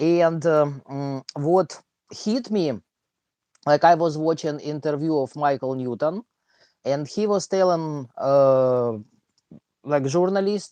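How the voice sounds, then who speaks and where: The speaker talks at a fairly slow pace. A strong Russian accent comes through. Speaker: live stream host and maths teacher. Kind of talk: casual chat. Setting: live stream. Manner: halting, many fillers.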